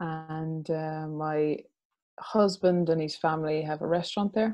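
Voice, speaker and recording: A woman with an Irish accent at a fairly low pitch and fairly slow pace. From Ireland. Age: 40s. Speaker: restaurant owner and mother. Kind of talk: interview. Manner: hesitant, many fillers.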